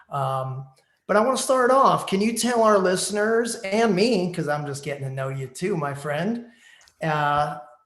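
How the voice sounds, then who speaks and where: With an American accent, a man speaks at a high pitch and a fairly slow pace. His pitch swings very widely, and room echo can be heard. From New Jersey, US. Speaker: online radio show host. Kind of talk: casual interview.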